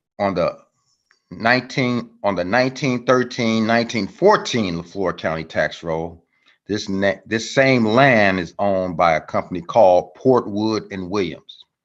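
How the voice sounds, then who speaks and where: Over a quiet background, a man talks with an American accent. His pace is fairly slow, with ordinary pitch variation. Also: fairly low pitch for a man. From US Midwest, Chicago South Side. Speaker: family history researcher. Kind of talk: presentation with slides. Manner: halting.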